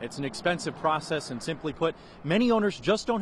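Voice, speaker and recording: A man talks with an energetic tone at a high pitch. His pace is fairly quick and his intonation lively. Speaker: TV news reporter. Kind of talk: broadcast news reporter narration and stand-ups.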